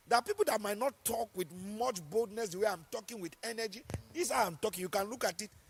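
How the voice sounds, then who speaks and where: A man speaks loudly and very fast in a high voice, with ordinary pitch variation and an animated tone. The sound is dry and close with no echo. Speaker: pastor. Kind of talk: sermon.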